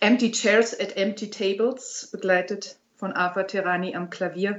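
Here a woman speaks with a medium pitch. Her pace is very slow. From Berlin, Germany. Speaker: opera singer. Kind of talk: interview.

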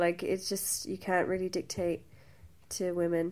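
A woman with a Limerick accent. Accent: Irish (Limerick). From Ireland, Limerick. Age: 20s. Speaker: burlesque dancer and cabaret producer. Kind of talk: interview.

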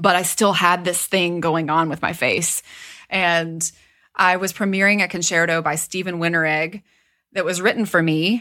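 A woman speaks with a bright, sharp tone at a fairly low pitch. Her intonation is monotone and flat. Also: moderate pace. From US South, southwest Virginia. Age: 30s. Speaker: trumpet teacher and career coach. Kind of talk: interview, casual chat.

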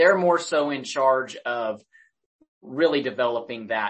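A man speaks with an American accent and an unremarkable speaking voice. His pace is fairly slow, with ordinary pitch variation. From Oklahoma. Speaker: police public information officer. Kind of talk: interview.

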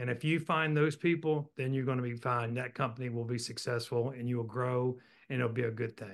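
The man has a plain, everyday voice with an American accent and a medium pitch. He keeps a moderate pace and fairly even intonation. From Virginia, Roanoke. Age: 60s. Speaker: business executive. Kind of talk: interview.

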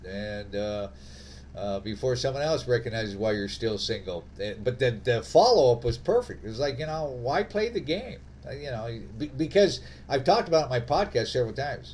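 Lively in intonation, a man speaks at medium pitch and a moderate pace with vocal fry. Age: 60s. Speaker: podcast host. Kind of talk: casual chat. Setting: remote call.

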